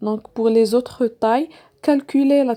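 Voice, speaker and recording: A woman speaks with a non-native accent. Her tone is dark and mellow. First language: not French (speaking French). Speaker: sewing tutorial creator. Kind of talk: tutorial. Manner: halting, many fillers.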